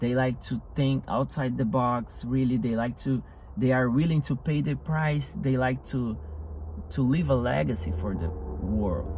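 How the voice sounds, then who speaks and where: The speaker has a somewhat breathy voice and a non-native accent and talks at a fairly slow pace. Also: man. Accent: non-native English, self-described rusty. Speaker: motivational speaker. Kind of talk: motivational talk. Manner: halting, with repetitions.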